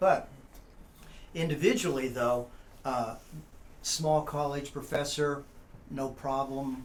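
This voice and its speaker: In a room with audible echo, a man with a fairly high pitch and ordinary pitch variation talks at a very slow pace with long, frequent pauses. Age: 60s. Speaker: college professor. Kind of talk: casual chat.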